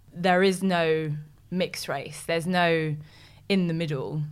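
Speaking in a London accent, a woman has a very deep, low pitch. Her pace is moderate and her intonation fairly even. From West London, England. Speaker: presenter and actress. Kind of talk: interview.

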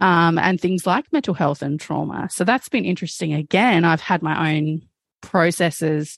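Speaking at a moderate pace with an Australian accent, a woman has a fairly low pitch and ordinary pitch variation, recorded dry and close with no echo against a quiet background. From South Australia. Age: 30s. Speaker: trauma researcher and abuse survivor. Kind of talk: testimony.

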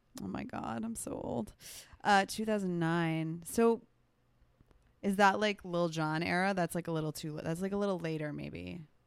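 In an ordinary speaking voice, a woman with an American accent talks at a moderate pace with lively intonation and a fairly low pitch, on a very clean recording with a silent background. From New Jersey. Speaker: freelancer, guest interviewer. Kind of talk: casual chat.

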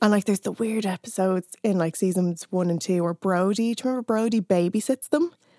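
A woman with an Irish accent, medium pitch, dark, mellow tone, ordinary pitch variation, very fast pace, and hardly any pauses, in a very clean recording with a silent background and a dry, close sound with no echo. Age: 30s. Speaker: writer and music critic. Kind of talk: casual chat.

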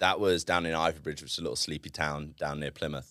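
With a southern English accent, a man talks at a fairly quick pace in a bright, sharp tone. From southern England (Reading, then Devon). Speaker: former Olympic weightlifter and entrepreneur. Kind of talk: casual interview. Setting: studio.

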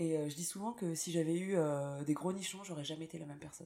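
A woman's fairly low pitch and dark, mellow tone, fairly even intonation, at a fairly quick pace. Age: 30s. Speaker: singer-songwriter. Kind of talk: interview. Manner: hesitant, many fillers.

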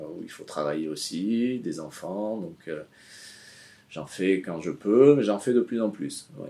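Lively intonation marks this man's speech at a fairly slow pace. His voice has a dark, mellow tone. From Basque Country, France (born in Morocco, moved at 13). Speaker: surfboard shaper. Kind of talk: casual interview chat.

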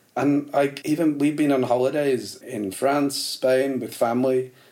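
A man with a northern English accent, fairly high pitch, fairly even intonation and a fairly slow pace. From northern England, Liverpool and Warrington. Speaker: actor and musician. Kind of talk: casual chat. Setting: at the host's home.

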